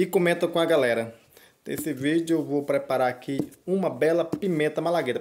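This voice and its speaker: Light background noise sits behind a man talking at a fairly quick pace. His pitch variation is ordinary. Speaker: small farmer vlogger. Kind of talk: casual vlog chat. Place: home room. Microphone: phone near.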